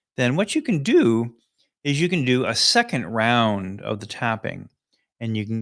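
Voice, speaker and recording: Over a very clean recording with a silent background, a man talks in a relaxed tone. His medium pitch carries lively intonation. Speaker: life coach and live stream host. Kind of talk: guided tapping tutorial on live stream. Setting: live stream. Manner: slower, relaxed pace.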